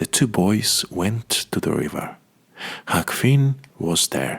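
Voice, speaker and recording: Soft-spoken and very slow, a man with a fairly low voice makes very wide pitch swings as music plays in the background. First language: Russian. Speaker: Russian-speaking voice actor and narrator. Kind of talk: audiobook reading of a simplified classic novel, ASMR. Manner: soft-spoken, very quiet.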